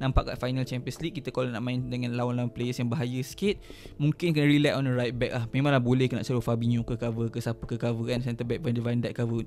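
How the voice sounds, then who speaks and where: Faint music plays behind a man who talks at a very fast pace. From Malaysia. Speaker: football YouTuber. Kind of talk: casual vlog commentary. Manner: fast, animated. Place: home room. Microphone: studio mic.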